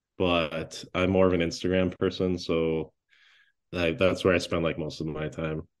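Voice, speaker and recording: Against a quiet background, a man with an Upper Midwest accent and a very deep, low pitch speaks at a moderate pace in a monotone, flat intonation. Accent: Upper Midwest American. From La Crosse, Wisconsin. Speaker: chef and restaurant owner. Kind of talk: casual interview.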